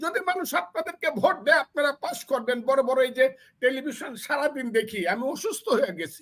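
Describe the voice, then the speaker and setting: This man's voice sits extremely high in pitch, animated in tone, with lively intonation. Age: 70s. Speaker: veteran politician and lawyer. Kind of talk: political commentary.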